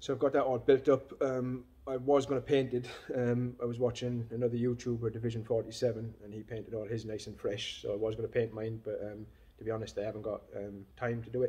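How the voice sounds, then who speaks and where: The man talks at a very fast pace. His intonation is monotone and flat. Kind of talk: casual vlog chat. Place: workshop. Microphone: phone near.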